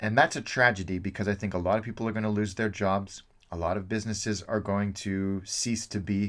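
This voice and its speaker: Delivered at a moderate pace with fairly even intonation, this voice with an American accent comes through on a very clean recording with a silent background. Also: man. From suburban California, itinerant upbringing. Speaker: travel video host. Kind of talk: casual Q&A monologue.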